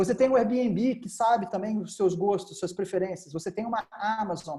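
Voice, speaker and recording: This man's voice is high for a man, with a dark, mellow tone. His pitch varies in an ordinary way. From Brazil, Volta Redonda (interior of Rio de Janeiro state). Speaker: engineer and entrepreneur. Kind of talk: lecture. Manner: fast.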